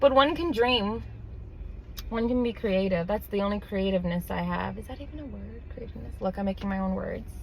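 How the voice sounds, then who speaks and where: A woman with a New York accent talks at a fairly quick pace. Her loudness swings widely, and the room echo is audible. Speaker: vlogger. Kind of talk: casual monologue. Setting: in a car.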